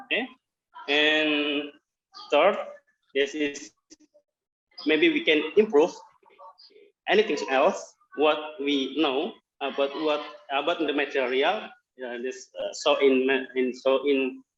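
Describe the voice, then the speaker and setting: Long, frequent pauses break up a man's very slow speech in a Javanese accent. His pitch is fairly high, with ordinary pitch variation. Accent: Indonesian (Javanese) English. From Central Java, Indonesia. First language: Indonesian. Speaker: workshop participant. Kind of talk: practice presentation. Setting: video call. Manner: halting.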